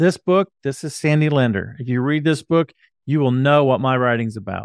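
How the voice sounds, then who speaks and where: Recorded very cleanly with a silent background and a dry, close sound with no echo, a man uses a normal speaking voice at a fairly high pitch with ordinary pitch variation. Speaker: podcast host. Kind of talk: casual interview chat.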